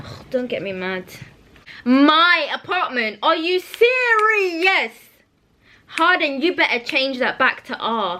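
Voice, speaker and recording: A woman speaks in a raised, projected voice at a high pitch and a very slow pace. Her loudness swings widely, and her pitch rises and falls over a very wide range. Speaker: book vlogger. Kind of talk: casual vlog. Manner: animated.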